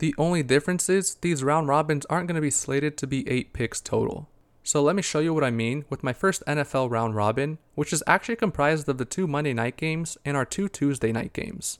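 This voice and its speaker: A normal speaking voice from a man, fairly high in pitch, at a fairly quick pace with hardly any pauses and ordinary pitch variation, on a very clean recording with a silent background. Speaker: investing and sports betting podcast host. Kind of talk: solo podcast monologue about investing and sports picks.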